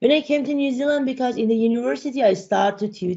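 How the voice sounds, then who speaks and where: Against a quiet background, a woman talks with a Persian accent. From Iran. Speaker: data and AI consultant, speaker; speaker. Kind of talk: interview chat; interview answer. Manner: halting, many fillers. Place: home room. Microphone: video call.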